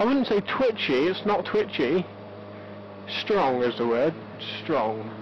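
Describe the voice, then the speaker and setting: A man speaks very slowly at a fairly high pitch, his loudness very even but his pitch swinging very widely. Long pauses come often, over noticeable background noise. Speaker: motorcycle vlogger. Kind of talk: vlog, bike review. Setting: outdoors on a motorbike. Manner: soft-spoken.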